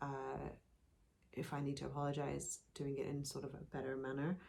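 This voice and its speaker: Someone mumbles at a moderate pace. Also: woman. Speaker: podcast co-host. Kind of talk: casual chat. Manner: mumbles words, per self.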